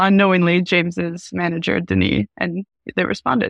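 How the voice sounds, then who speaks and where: A woman's normal speaking voice, fairly low in pitch, at a moderate pace, with a dry, close sound, no echo and a quiet background. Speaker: app developer. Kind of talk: interview.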